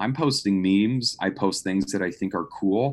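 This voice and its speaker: An ordinary speaking voice with lively intonation moves at a moderate pace against a quiet background. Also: man. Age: 20s. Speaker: marketing graduate. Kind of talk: casual chat.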